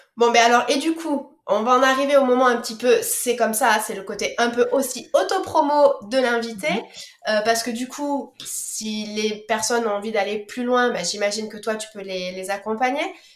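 A high-pitched woman's voice at a moderate pace, with ordinary pitch variation, big swings in loudness, audible room echo and noticeable background noise. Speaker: podcast host. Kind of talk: casual interview.

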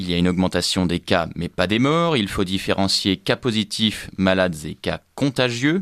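A man with an ordinary speaking voice talks at a moderate pace, fairly low in pitch with ordinary pitch variation. The recording is very clean and dry, close with no echo and a silent background. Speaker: radio news presenter. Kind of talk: news reading. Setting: studio. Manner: crisp, measured bulletin delivery, reading scripted copy; formal.

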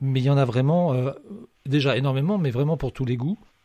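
With a dark, mellow tone and a fairly high pitch, a man talks with ordinary pitch variation in a dry, close sound with no echo. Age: young. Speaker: radio host. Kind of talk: radio show interview.

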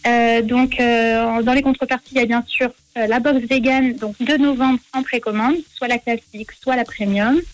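A woman's high-pitched voice with fairly even intonation, dry and close with no echo. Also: fairly slow pace. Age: 20s. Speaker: vegan box business founder. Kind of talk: radio interview.

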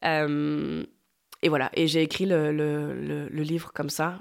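A woman's voice, very deep and low in pitch. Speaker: cookbook author and food blogger. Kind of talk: interview conversation. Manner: hesitant, many fillers and repetitions.

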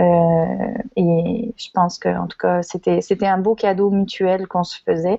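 A woman's very slow speech with big swings in loudness. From France (Lyon), emigrated to Quebec as adult. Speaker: teacher and education network co-founder. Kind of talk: casual interview.

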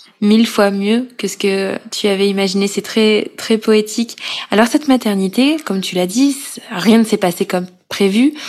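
A woman speaks at a moderate pace and a fairly high pitch with ordinary pitch variation. Noticeable background noise is present. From Corrèze, France. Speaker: podcast host and journalist. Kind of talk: interview.

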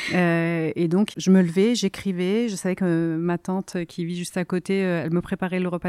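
Fairly low-pitched woman's voice, dark and mellow, with fairly even intonation and a dry, close sound with no echo on a very clean recording with a silent background. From southern Italy (Campania, near Salerno). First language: Italian (speaking French). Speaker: novelist. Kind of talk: interview. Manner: hesitant, many fillers.

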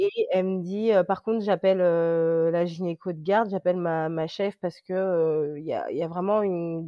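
A woman speaks at a fairly slow pace, her medium pitch held in a fairly even intonation. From France, moved from Congo as a small child. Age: 30s. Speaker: insurance claims adjuster and mother. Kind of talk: casual interview, personal testimony. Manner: hesitant, many fillers and repetitions.

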